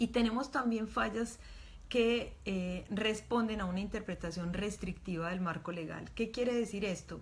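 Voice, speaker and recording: A woman speaks fairly slowly at a medium pitch with ordinary pitch variation. Noticeable background noise runs underneath. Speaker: doctor and reproductive rights activist. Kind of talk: online talk.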